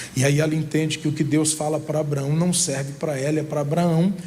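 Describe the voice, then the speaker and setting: Over noticeable background noise and audible room echo, a man with a fairly high pitch talks at a moderate pace with fairly even intonation. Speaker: pastor. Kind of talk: sermon.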